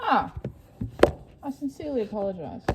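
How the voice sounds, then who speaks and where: A woman with an Australian accent, a fairly high pitch and lively intonation, over noticeable background noise. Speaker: student vlogger. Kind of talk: vlog.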